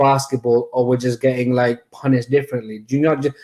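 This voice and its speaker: A man with a Mancunian accent talks in a dark, mellow tone at a fairly high pitch. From Manchester. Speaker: football fan channel host. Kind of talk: casual chat.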